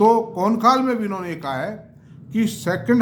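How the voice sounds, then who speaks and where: A man speaks at a moderate pace with ordinary pitch variation. Audible room echo surrounds his voice. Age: 70s. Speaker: stock market commentator. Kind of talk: investment talk to camera. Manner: conversational, mixing Hindi and English.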